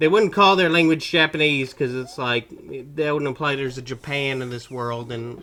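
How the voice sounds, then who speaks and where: A man's fairly high voice moves at a moderate pace, its pitch varying in an ordinary way. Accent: slight Southern US. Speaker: gaming commentator. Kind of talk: casual chat. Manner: animated.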